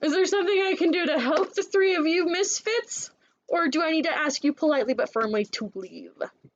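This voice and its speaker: A woman does a put-on character voice at an extremely high pitch, talking at a fairly quick pace. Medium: actual play. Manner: blunt, curt, impatient.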